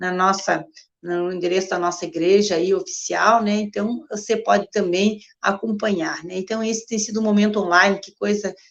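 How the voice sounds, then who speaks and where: The speech keeps a moderate pace, its intonation monotone and flat. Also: woman. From Rio Grande do Sul, Alegrete. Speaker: pastor. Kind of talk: online church livestream talk.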